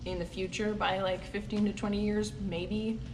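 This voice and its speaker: A woman with a Canadian accent speaks at medium pitch. Audible room echo and noticeable background noise fill the recording. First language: Dutch. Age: 20s. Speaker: dairy farmer. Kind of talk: Q&A vlog, casual answers.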